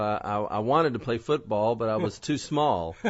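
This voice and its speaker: With a Southern US accent, a man speaks at a moderate pace and a medium pitch, with ordinary pitch variation. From Kentucky, US South. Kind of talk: interview. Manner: hesitant, with many fillers.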